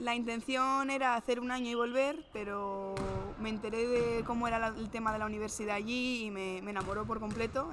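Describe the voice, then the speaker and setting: A woman with a fairly high pitch talks fairly quickly as noticeable background noise carries on behind her. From Spain, Madrid. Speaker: professional basketball player. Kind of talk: interview. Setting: on location in a sports venue.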